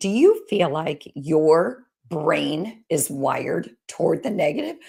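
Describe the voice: A woman's put-on character voice, raspy and fairly low in pitch, at a fairly slow pace on a very clean recording with a silent background.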